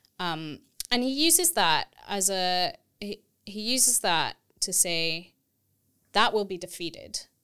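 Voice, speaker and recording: Over a silent background in a very clean recording, the voice has a bright, sharp tone, very wide pitch swings, a fairly slow pace and long, frequent pauses. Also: woman, medium pitch for a woman. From Texas. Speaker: theology lecturer. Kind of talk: casual academic conversation.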